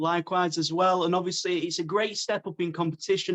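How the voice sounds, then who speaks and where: A man's high-pitched voice in a British accent, fairly quick, with monotone, flat intonation and a dry, close sound with no echo. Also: quiet background. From UK. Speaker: MMA interviewer. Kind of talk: interview.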